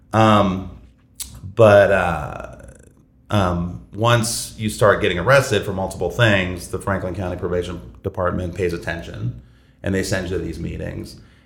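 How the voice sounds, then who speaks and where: Speaking at a fairly slow pace, a man with an American accent has a very deep, low pitch and ordinary pitch variation. There is audible room echo. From Columbus, Ohio. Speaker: recovery group co-chair, restaurant worker. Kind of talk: casual interview. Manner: halting, many fillers.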